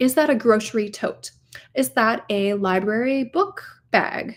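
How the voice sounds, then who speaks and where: On a very clean recording with a silent background, a woman with a Minnesota accent talks at a fairly high pitch with ordinary pitch variation. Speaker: e-commerce coach. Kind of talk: livestream tutorial. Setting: livestream.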